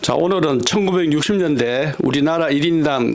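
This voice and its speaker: There is noticeable background noise as a man speaks at a fairly slow pace. His pitch is fairly high, with ordinary variation. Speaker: interviewer. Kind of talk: interview questions.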